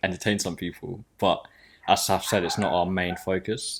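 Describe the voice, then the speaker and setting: A man's very deep, low voice with a southern English accent, fairly quick and fairly even in intonation, on a very clean recording with a silent background. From southern England (Sussex, near Brighton). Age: 20s. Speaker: podcast co-host. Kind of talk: casual chat. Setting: home studio in living room.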